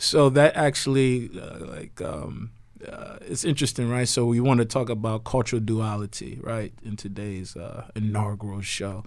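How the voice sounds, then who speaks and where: An ordinary speaking voice at a moderate pace, with hardly any pauses, ordinary pitch variation and big swings in loudness. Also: man, medium pitch for a man. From US, Nigerian parents, moved from Nigeria at three. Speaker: podcast co-host. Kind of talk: casual chat.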